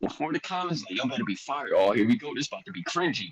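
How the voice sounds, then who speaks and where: A man talks with a Philadelphia accent, a bright, sharp tone and vocal fry. His pitch swings very widely, and the sound is dry and close with no echo. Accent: Philly. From Philadelphia, US. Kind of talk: casual chat. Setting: live-streamed podcast. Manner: animated.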